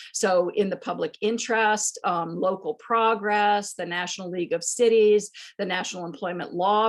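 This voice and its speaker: A woman talks in a normal speaking voice, her pitch varying in an ordinary way and her tempo moderate. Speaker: history professor. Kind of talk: panel discussion talk. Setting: video call.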